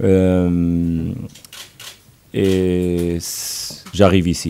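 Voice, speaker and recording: Over noticeable background noise, a man with a Portuguese accent speaks in a very deep, low pitch with fairly even intonation. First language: Portuguese (speaking French). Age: 40s. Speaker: football coach. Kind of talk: press conference. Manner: halting.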